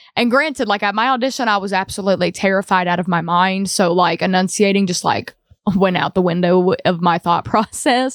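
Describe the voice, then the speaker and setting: In an Appalachian accent, a woman talks at a fairly quick pace. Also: medium pitch for a woman, ordinary pitch variation, dry, close sound with no echo. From Appalachia, southwest Virginia. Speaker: singer-songwriter. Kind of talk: casual interview chat. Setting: studio.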